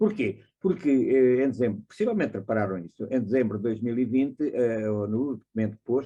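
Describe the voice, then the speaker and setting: The man talks at a medium pitch, his tone dark and mellow. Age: 80s+. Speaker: audience member, journalist. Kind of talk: audience question at online seminar. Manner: halting.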